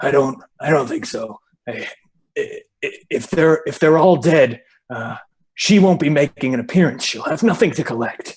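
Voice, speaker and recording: This man uses a put-on character voice that sounds gruff and sits fairly high in pitch. He talks at a moderate pace. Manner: gentle, low-key.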